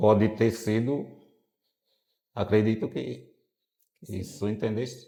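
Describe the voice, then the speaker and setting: A man speaks with vocal fry and a dark, mellow tone. His pace is very slow, broken by long, frequent pauses. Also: fairly low pitch for a man, ordinary pitch variation. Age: 60s. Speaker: longtime smoker interviewee. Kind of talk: interview. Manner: halting.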